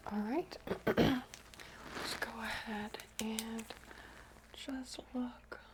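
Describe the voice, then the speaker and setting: A woman whispers in a calm tone at a very slow pace, with long, frequent pauses and noticeable background noise. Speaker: chiropractor roleplay ASMR exam host. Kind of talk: real person ASMR roleplay, soft-spoken examination. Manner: soft-spoken, calm, whispered instructions.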